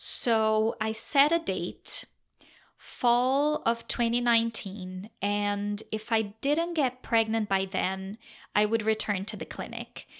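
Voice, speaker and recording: A woman with a Portuguese accent speaks at a very slow pace in a fairly high pitch, with ordinary pitch variation. The recording is very clean, with a silent background. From Brazil. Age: 30s. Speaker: podcast host. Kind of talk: personal storytelling monologue.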